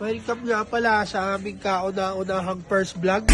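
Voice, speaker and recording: The talking proceeds at a fairly slow pace. Behind it, music can be heard. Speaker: vlogger. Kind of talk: travel vlog. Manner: quiet, lowered voice.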